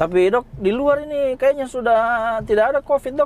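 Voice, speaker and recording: This is a man speaking with a Makassar accent. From Sunda, West Java. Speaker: doctor and YouTube host. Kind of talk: casual interview. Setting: in a car with sunroof open.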